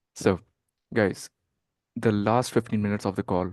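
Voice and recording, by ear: A man with a fairly low pitch and a slightly mellow tone talks at a moderate pace with fairly even intonation.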